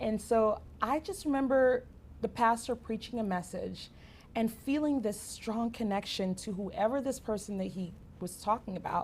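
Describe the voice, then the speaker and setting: With a fairly high pitch and ordinary pitch variation, the woman sounds somewhat breathy. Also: moderate pace. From Cameroon. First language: French. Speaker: ministry speaker. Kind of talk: interview testimony.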